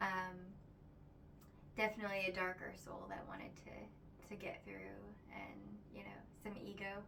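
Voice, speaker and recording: Soft-spoken and moving at a moderate pace, a woman leaves long, frequent pauses, her loudness swinging widely amid noticeable background noise and audible room echo. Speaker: spiritual vlogger. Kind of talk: casual spiritual monologue. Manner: halting, many fillers.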